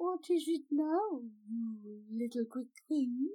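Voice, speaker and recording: A woman speaks in a put-on character voice, pitched high. Her delivery is very slow. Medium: read story. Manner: aloof, sighing, strange turns of phrase.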